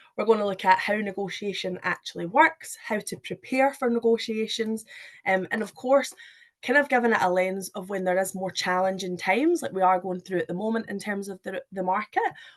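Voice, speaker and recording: A woman with a Scottish accent talks with ordinary pitch variation over a quiet background. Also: medium pitch for a woman. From Scotland. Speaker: recruitment manager. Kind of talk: webinar presentation. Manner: hesitant, many fillers.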